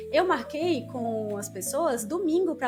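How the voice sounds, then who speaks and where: Her pitch swings very widely as the woman speaks. Music plays in the background. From Ceará, Brazil (Fortaleza). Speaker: podcast guest. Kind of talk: casual chat. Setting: podcast recording late at night.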